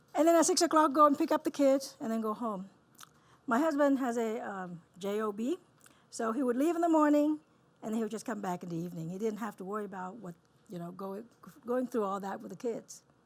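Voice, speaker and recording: A woman with a Vietnamese accent speaks fairly quickly at a fairly high pitch. Her pitch swings very widely, and her loudness shifts in big swings. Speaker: dentist. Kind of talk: keynote talk. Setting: stage with audience.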